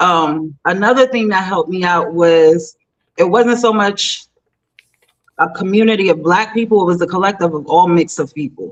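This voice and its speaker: Her pitch medium, a woman talks at a moderate pace with ordinary pitch variation. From US Northeast, Southside Jamaica, Queens, New York City. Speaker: AI entrepreneur. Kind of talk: interview conversation. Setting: live online show. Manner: animated.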